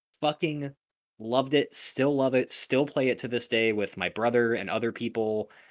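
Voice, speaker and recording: A normal speaking voice from a man of medium pitch, at a moderate pace, in a dry, close sound with no echo and a very clean recording with a silent background. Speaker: musician and picture framer, video game guest. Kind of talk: casual chat.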